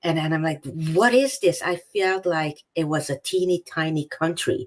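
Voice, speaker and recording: A woman's fairly low voice with a Hungarian accent. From Hungary. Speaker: author. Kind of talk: interview.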